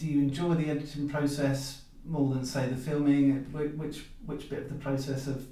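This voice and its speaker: A fairly high-pitched man at a moderate pace, monotone and flat, over noticeable background noise. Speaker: podcast host. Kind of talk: casual interview chat.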